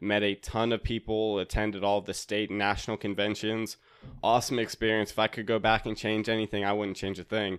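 A man with an American accent talks at a fairly quick pace, his fairly low voice held in a monotone, flat intonation. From North Carolina, Raleigh. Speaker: podcaster and accountant. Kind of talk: casual chat.

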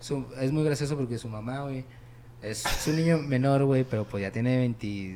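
Noticeable background noise sits behind a man speaking at a medium pitch with ordinary variation. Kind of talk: casual chat. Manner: casual, slangy.

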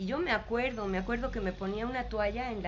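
A woman's voice with audible room echo. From Mexico, Mexico City. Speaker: spiritual teacher. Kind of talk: interview. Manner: halting.

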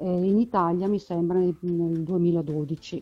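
A woman speaks at a very slow pace. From northern Italy, Brescia area. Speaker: librarian. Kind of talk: interview. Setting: phone call.

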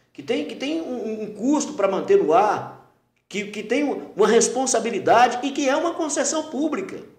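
Audible room echo surrounds a man talking at a moderate pace. His pitch is extremely high. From Brazil, Teófilo Otoni, Minas Gerais. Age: 40s. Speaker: radio announcer and journalist. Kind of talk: casual interview.

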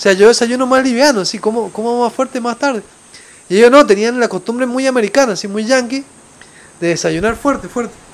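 With an Argentine accent, a man speaks at a fairly quick pace in an extremely high pitch with ordinary variation, over noticeable background noise. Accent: Argentine, noticeable abroad. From Argentina. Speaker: travel podcaster. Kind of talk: casual storytelling monologue. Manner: halting, with many fillers and repetitions.

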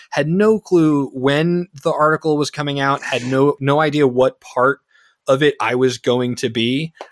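A man with an American accent and an ordinary speaking voice talks at a fairly slow pace in a fairly high pitch with ordinary pitch variation, in a very clean recording with a silent background and a dry, close sound with no echo. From New Jersey, East Brunswick. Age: 20s. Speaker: filmmaker. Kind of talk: casual interview chat.

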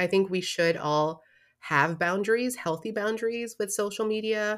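A very clean recording with a silent background carries a woman talking at a fairly slow pace. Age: 30s. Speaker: podcast host. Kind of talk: casual monologue. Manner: animated.

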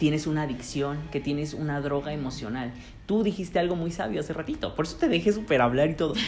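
With music playing in the background, a man with a Mexican accent talks very fast at a fairly high pitch. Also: ordinary pitch variation. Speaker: podcast host. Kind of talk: casual chat.

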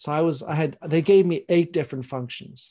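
A man's somewhat breathy, dark and mellow voice with fairly even intonation, over a quiet background. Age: 50s. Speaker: leadership speaker and author. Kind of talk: casual chat.

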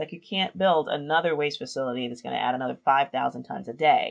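A woman with a New York accent talks at a very fast pace. Her voice is very deep and low, with lively intonation. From New York City, South Bronx. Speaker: urban revitalization strategist. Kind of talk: interview.

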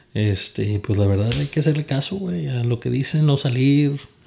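This man has a dark, mellow tone that is somewhat breathy. He talks at a moderate pace with lively intonation. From Monterrey, Nuevo León, Mexico. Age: 20s. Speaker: podcast co-host. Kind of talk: casual chat.

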